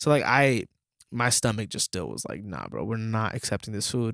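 An ordinary speaking voice, a man's, fairly low in pitch and at a moderate pace. The sound is dry and close with no echo on a very clean recording with a silent background. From US, Dominican-American family. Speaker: podcast co-host. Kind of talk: casual chat.

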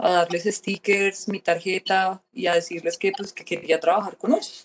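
An unremarkable speaking voice with fairly even intonation comes through in a dry, close sound with no echo. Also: woman. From Colombia. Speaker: tattoo artist and painter. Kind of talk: casual interview chat.

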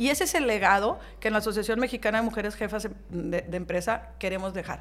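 A woman's unremarkable speaking voice, fairly high in pitch, at a moderate pace with ordinary pitch variation. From Hidalgo, Nuevo León, Mexico. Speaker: business association president. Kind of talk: interview.

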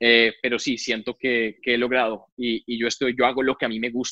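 A man at medium pitch, a normal speaking voice, fairly quick in pace. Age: 30s. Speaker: engineer and entrepreneur. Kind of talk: interview conversation.

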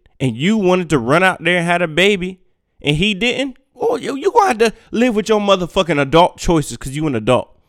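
In an animated tone with very wide pitch swings, a man speaks at a moderate pace, recorded very cleanly against a silent background with a dry, close sound and no echo. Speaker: podcast host. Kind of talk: angry rant, profane and combative, with heated street slang. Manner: loud, aggressive, emphatic, repeating phrases for punch; animated and confrontational, addressing listeners directly.

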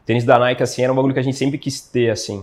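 A man talks at medium pitch, and the background stays quiet. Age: 20s. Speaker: physiotherapist. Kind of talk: interview. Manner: casual, slangy.

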